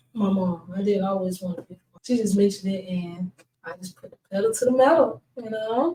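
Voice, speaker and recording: A soft-spoken woman with a dark, mellow tone talks at a medium pitch and a fairly quick pace, somewhat breathy, with ordinary pitch variation. Her loudness swings widely. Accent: American. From US South (Texas, Florida). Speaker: podcast guest, phlebotomy student. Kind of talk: casual interview. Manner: terse.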